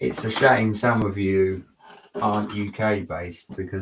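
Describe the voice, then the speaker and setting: A man's fairly low-pitched voice with fairly even intonation, in an English accent. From England. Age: 40s. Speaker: Lego builder streamer. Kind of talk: live stream chat. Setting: home at night.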